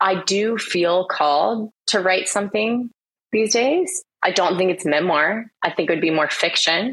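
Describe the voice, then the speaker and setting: An unremarkable speaking voice from a woman with an American accent, medium pitch, ordinary pitch variation and very even loudness. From Florida, US. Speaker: ghostwriter and author. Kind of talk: casual interview chat.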